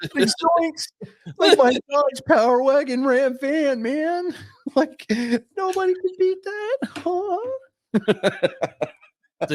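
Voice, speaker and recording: A high-pitched, put-on character voice moves at a very slow pace with long, frequent pauses. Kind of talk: casual slang. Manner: goofy, excited.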